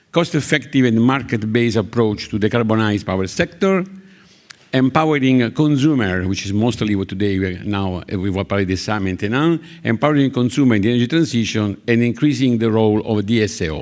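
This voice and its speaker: A man speaks with an Italian accent at a moderate pace. His medium-pitched voice has lively intonation. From Italy. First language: Italian (speaking French). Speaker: conference session coordinator. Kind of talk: conference moderation speech. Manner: halting, many hesitations.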